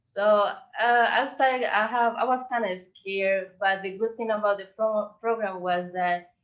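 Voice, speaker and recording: The speaker uses a Spanish accent, talking at a moderate pace with ordinary pitch variation. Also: woman. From Colombia. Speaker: visual artist. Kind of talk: presentation.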